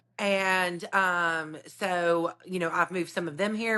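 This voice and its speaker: In a Southern US accent, a woman speaks at a medium pitch and fairly slow pace, her tone bright and sharp against a quiet background. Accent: Southern twang. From US South, north Alabama (Decatur). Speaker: realtor. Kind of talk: podcast interview. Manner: animated.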